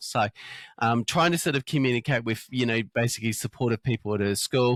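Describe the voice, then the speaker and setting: A man with an Australian accent speaks at a medium pitch with ordinary pitch variation. The sound is dry and close, with no echo. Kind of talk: interview. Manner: fast; halting, many fillers.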